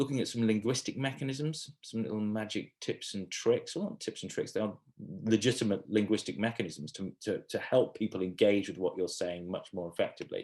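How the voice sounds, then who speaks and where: The speech moves at a moderate pace with lively intonation. The background is quiet. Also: man. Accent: southern English. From England. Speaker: communication skills trainer. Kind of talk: online training session. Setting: video call. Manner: casual, hesitant with fillers.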